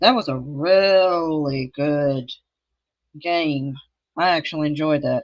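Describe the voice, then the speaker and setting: A woman's fairly low pitch with ordinary pitch variation, against a quiet background. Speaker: gaming streamer. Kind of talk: casual live stream chat.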